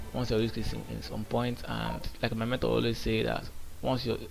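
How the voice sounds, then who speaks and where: A man is speaking. Music plays in the background. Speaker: day trader. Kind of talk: casual trading vlog commentary. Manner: halting, with repetitions.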